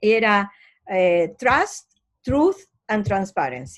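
A woman speaks with very wide swings in pitch. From Argentina. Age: 60s. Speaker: anti-corruption organization president, lawyer. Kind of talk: interview.

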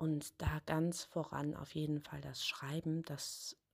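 This woman has a very deep, low voice. Her intonation stays fairly even. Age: 30s. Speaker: author. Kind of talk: interview answers.

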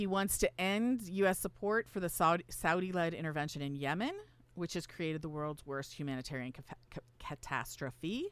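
A woman with a plain, everyday voice speaks at a moderate pace. Her intonation is lively. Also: fairly low pitch for a woman. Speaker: political science professor and radio host. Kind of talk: radio talk show, explanatory. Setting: radio studio.

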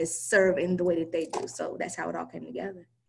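A woman with an American accent talks at a very fast pace and medium pitch, her intonation fairly even and marked by vocal fry. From US South, Charlotte, North Carolina. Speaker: life coach. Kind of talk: interview.

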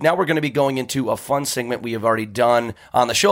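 Speaking at a fairly quick pace with an American accent, a man uses a plain, everyday voice. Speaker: podcast host. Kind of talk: casual comedic banter.

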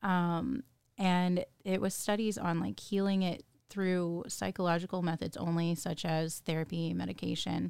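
A woman with a normal speaking voice talks at a moderate pace. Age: 30s. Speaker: guest sharing recovery story. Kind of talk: personal testimony in interview.

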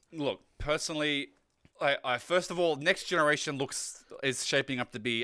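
Fairly brisk delivery from a man with an Australian accent. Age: young. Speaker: community lead and streamer. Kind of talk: casual chat.

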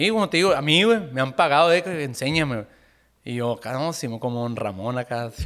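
With lively intonation, a man speaks at a fairly quick pace in a fairly high voice. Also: very clean recording, silent background. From Sonora, Mexico (Caborca). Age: 20s. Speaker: musician. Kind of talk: casual chat.

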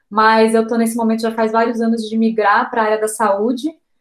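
With an ordinary speaking voice, a woman talks at a moderate pace and a fairly high pitch. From Brazil, interior of São Paulo state. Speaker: travel blogger. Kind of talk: casual interview chat.

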